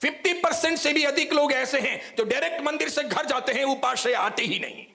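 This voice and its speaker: Over noticeable background noise, a man with an extremely high pitch speaks in a raised, projected voice at a moderate pace with ordinary pitch variation. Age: 60s. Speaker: Jain monk and preacher. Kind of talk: sermon. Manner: forceful, outspoken.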